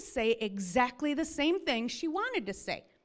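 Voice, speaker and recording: A woman speaks loudly at a fairly slow pace in a high pitch, her tone animated and her pitch swinging very widely. The recording is very clean with a silent background. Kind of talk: sermon. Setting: church.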